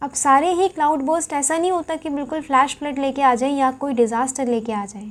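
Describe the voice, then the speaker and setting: A woman talks at a high pitch, keeping her intonation fairly even. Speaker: current affairs teacher for exam aspirants. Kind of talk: lecture. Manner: casual Hinglish code-switching.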